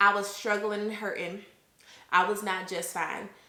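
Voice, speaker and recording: Against audible room echo, a woman talks in a bright, sharp tone with a fairly high pitch. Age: 20s. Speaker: vlogger. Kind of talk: casual chat. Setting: home recording to camera.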